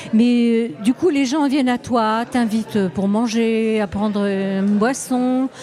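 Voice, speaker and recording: There is noticeable background noise behind a woman whose fairly high voice shows ordinary pitch variation. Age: 70s. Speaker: travel sketchbook artist. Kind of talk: interview. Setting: festival stand studio. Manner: halting.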